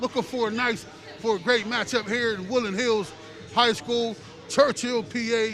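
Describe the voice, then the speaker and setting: Loud and at an extremely high pitch, a man speaks with music in the background. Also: fairly even intonation, moderate pace. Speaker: sports commentator. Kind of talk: live commentary.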